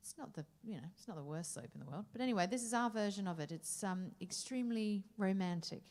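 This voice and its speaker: Fairly quick and somewhat breathy, the voice has an animated tone and lively intonation. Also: woman. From Australia. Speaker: jazz singer. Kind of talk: stage banter between songs. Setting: stage with audience.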